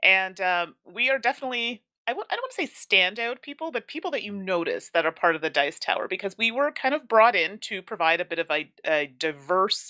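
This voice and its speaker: A woman with a bright, sharp tone and medium pitch speaks at a moderate pace with hardly any pauses and very wide pitch swings. The recording is very clean with a silent background, dry and close with no echo. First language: English (speaking French). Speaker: board game content creator and teacher. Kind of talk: interview.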